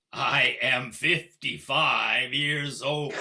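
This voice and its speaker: Putting on a character voice, a man speaks with a fairly high pitch and monotone, flat intonation. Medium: stage play.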